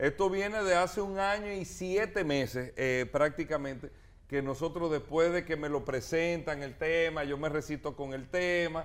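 A fairly slow pace with ordinary pitch variation. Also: man, fairly high pitch for a man. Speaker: mayoral candidate. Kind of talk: interview. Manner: animated.

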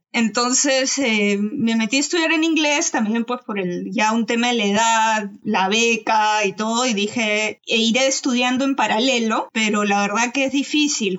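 Speaking with hardly any pauses, a woman keeps a fairly high pitch and very even loudness over noticeable background noise. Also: ordinary pitch variation, fairly slow pace. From Peru. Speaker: doctoral student. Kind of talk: casual chat.

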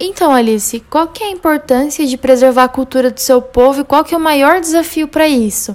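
A woman's high voice, fairly quick with hardly any pauses and ordinary pitch variation. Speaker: journalism student interviewer. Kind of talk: student podcast interview, partly scripted.

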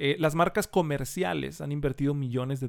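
A man with a Mexican accent on a very clean recording with a silent background. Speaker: personal branding consultant. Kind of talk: casual interview.

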